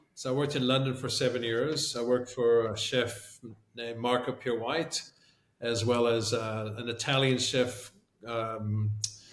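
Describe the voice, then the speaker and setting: Audible room echo surrounds a man's voice. His pitch is medium and his intonation is monotone and flat. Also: moderate pace. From South Africa, also Canada and England. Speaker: chef and restaurateur. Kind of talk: casual interview.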